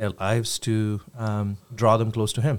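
A man speaks at a fairly slow pace in a monotone, with flat intonation. The recording is very clean, with a silent background. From India. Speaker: church local outreach leader. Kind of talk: casual chat.

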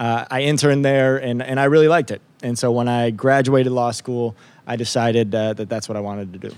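This is an ordinary speaking voice at a fairly quick pace with fairly even intonation. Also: man, medium pitch for a man. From upstate New York. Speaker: district attorney. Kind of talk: interview.

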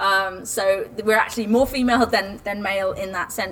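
A woman with a plain, everyday voice talks at a fairly quick pace. Her intonation is fairly even. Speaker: producer, director and actor. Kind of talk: panel discussion. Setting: live panel with audience.

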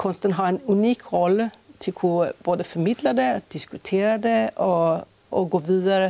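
Her tone is dark and mellow. The woman speaks at a medium pitch with ordinary pitch variation. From Sweden, Stockholm. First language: Swedish (speaking Danish). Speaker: choreographer and artistic director. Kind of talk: interview. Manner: halting, frequent fillers.

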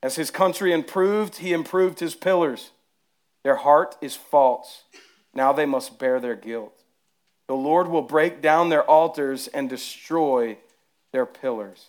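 A man's fairly high voice with a strong Southern US accent, a fairly slow pace and ordinary pitch variation in a very clean recording with a silent background. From US South. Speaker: pastor. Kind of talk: sermon. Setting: church.

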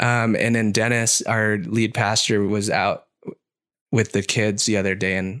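A man with an American accent speaks at a fairly slow pace in a fairly low pitch. His intonation is monotone and flat, on a very clean recording with a silent background. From Southern California, Orange County. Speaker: church worship leader. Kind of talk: casual chat.

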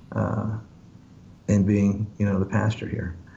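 Speaking at a moderate pace, a man with a fairly low, somewhat breathy voice is heard with audible room echo. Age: 50s. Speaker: pastor. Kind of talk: casual chat. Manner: halting.

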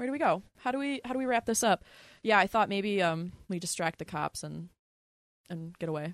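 A plain, everyday voice with an American accent and lively intonation. The recording is very clean with a silent background, and the sound is dry and close with no echo. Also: woman, medium pitch for a woman, fairly quick pace. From US Northeast, Philadelphia. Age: 20s. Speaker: podcast co-host. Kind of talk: casual chat.

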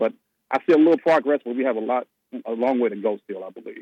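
A man speaks at a very fast pace with a medium pitch. The sound is dry and close, with no echo. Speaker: caller. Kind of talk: casual chat. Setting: phone call.

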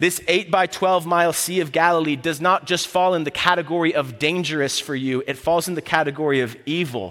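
A man's fairly high, bright and sharp voice with an American accent, ordinary pitch variation, a fairly quick pace and hardly any pauses. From Florida, US South. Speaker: campus ministry staff preaching. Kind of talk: sermon. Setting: church service.

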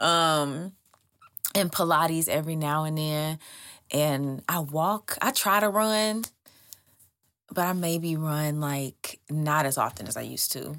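A woman's very deep, low pitch with ordinary pitch variation, at a very slow pace broken by long, frequent pauses. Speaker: singer. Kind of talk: casual chat.

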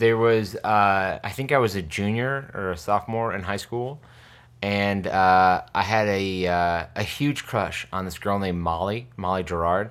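On a very clean recording with a silent background, a man with an American accent uses a normal speaking voice, fairly low in pitch, at a fairly slow pace with ordinary pitch variation. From upstate New York (New Hartford). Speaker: singer-songwriter. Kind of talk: casual interview.

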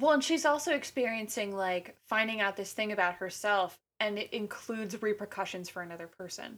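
Using an unremarkable speaking voice, a woman at a medium pitch talks at a fairly quick pace with hardly any pauses, ordinary pitch variation and big swings in loudness. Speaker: actor and musician guest. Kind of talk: casual podcast chat about films. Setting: remote recording.

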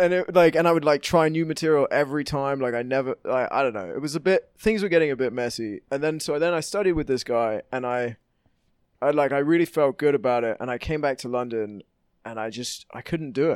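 A man with a British accent speaks at a fairly quick pace and a fairly high pitch with ordinary variation. The sound is dry and close with no echo, and the background is quiet. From England. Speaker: comedian and actor. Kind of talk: casual chat.

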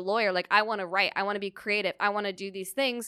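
A woman with a Californian accent and a bright, sharp tone at a moderate pace, in a very clean recording with a silent background. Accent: General American (Californian). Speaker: comedian. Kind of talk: casual chat.

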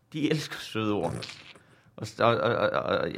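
A man with a central Jutland accent speaks with ordinary pitch variation. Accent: central Jutland Danish. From Denmark, central Jutland. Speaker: comedian. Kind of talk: casual chat. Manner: dry, sarcastic-sounding.

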